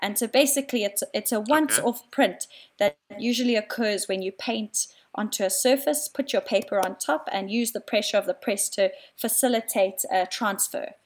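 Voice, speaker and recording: A woman with a South African accent, fairly high-pitched, at a moderate pace with ordinary pitch variation. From South Africa, Cape Town. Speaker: artist, printmaker. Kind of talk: casual interview. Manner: hesitant, many fillers.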